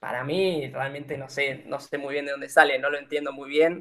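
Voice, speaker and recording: A man with an Argentine accent. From Argentina, General Roca, Río Negro. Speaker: engineering student sharing exchange experience. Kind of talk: informative presentation. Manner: hesitant, many filler sounds.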